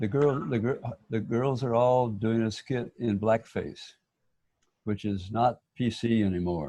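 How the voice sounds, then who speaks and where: Speaking at a fairly slow pace, a man with an American accent has a dark, mellow tone, medium pitch and ordinary pitch variation. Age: old. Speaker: local history enthusiast. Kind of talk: casual chat. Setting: video call.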